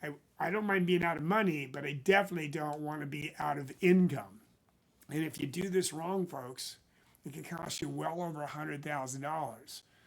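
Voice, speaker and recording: A man uses a normal speaking voice and a moderate pace. His fairly high pitch shows ordinary variation. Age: 60s. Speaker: financial planner. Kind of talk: casual talk to camera.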